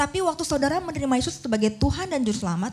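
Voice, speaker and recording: A woman speaks with a slight Sundanese accent. Her pitch swings very widely. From Indonesia, Bandung (West Java). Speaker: pastor. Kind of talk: sermon.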